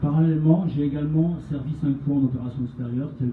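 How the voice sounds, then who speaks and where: Audible room echo hangs around the voice. The delivery runs at a fairly quick pace. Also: man. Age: 60s. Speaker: retired army officer, association representative. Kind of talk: prepared speech at a public meeting. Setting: meeting with audience.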